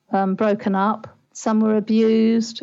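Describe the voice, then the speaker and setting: A woman's fairly high voice with a British accent. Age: 60s. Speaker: parenting life coach. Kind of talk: interview.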